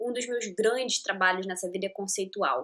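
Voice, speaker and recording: A woman at a moderate pace in a Rio de Janeiro accent. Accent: Carioca. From Rio de Janeiro, Brazil. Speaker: podcast host. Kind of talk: casual podcast monologue. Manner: chatty, enthusiastic.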